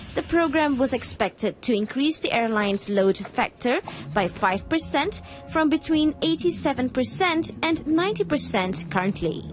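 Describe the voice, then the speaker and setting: Over noticeable background noise, a woman talks at a moderate pace in a high voice that swings very widely in pitch. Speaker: television news presenter. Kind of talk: TV news broadcast reading. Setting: studio.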